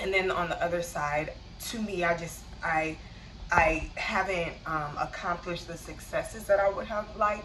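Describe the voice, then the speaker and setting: Room echo is audible around this woman. Her intonation stays fairly even. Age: 30s. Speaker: vlogger. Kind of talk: personal vlog monologue. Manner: slow; halting.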